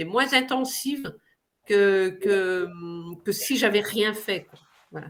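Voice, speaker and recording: Speaking at a very slow pace, a woman uses lively intonation and a bright, sharp tone. The recording is very clean, with a silent background. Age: 60s. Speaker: patient giving a testimony. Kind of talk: testimony. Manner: hesitant, many fillers.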